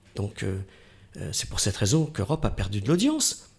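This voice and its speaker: A man speaks at a moderate pace. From northern France, Oise. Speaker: radio host. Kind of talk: interview.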